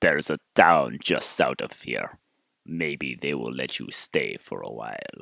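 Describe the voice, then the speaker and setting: A man puts on a character voice. It sits at a very deep, low pitch and moves at a fairly slow pace. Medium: read story. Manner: groaning, curt.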